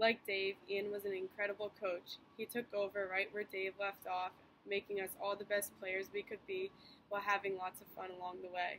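A woman speaks with an American accent in a flat monotone. Light background noise sits behind her. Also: moderate pace. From US Northeast, New Hampshire seacoast. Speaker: professional soccer player. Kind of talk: recorded acceptance speech. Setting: pre-recorded video. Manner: formal. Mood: warm, grateful. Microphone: phone near.

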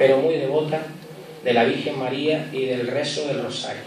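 A man is talking in a room with audible echo. Music plays in the background. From Gran Canaria, Canary Islands. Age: 30s. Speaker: festival proclaimer and town councillor. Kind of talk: festival proclamation speech, formal opening then nostalgic, warm and humorous. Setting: stage with audience. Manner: formal, warm, nostalgic, with light jokes. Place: hall. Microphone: podium.

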